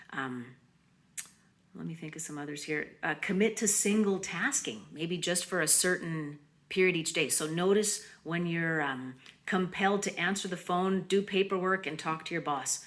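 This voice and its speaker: Fairly low female voice, its pitch varying in an ordinary way, delivered at a moderate tempo amid audible room echo. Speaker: mindfulness presenter. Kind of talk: conference presentation.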